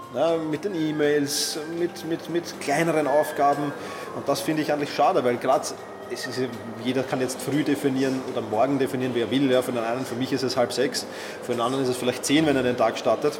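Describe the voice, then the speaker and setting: A man with a fairly high pitch talks at a fairly quick pace with fairly even intonation over noticeable background noise. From Austria, Vienna. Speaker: productivity expert and author. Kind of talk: interview. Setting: hotel lobby.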